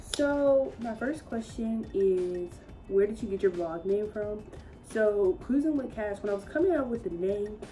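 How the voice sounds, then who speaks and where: Over music in the background, a woman with an American accent speaks at a fairly slow pace, her fairly high voice full of lively intonation. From Georgia, US South. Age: 20s. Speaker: vlogger. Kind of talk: casual Q&A vlog. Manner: chatty.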